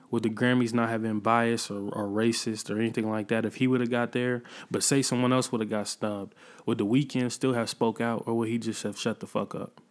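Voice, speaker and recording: A man delivers his words at a fairly quick pace. His intonation is monotone and flat. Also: medium pitch for a man. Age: 30s. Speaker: podcast host and rapper. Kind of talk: casual solo commentary.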